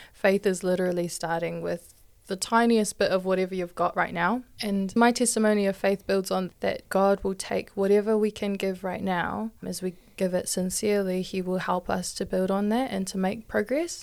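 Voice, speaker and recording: In a New Zealand accent, the speaker goes on with hardly any pauses and fairly even intonation. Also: woman, medium pitch for a woman, moderate pace. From New Zealand, Hamilton. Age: 20s. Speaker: church youth podcaster, health worker. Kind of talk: casual faith discussion.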